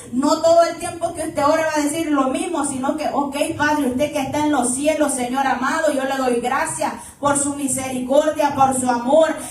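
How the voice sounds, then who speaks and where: Loud and high-pitched, a woman talks at a moderate pace with monotone, flat intonation. Room echo is audible, and background noise is noticeable. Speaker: preacher. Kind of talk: sermon.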